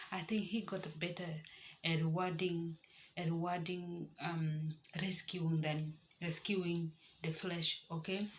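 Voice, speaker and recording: Soft-spoken and somewhat breathy, a woman with a fairly low pitch talks at a fairly slow pace in a monotone, flat intonation with long, frequent pauses. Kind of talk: devotional talk to camera. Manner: soft-spoken, keeping voice low.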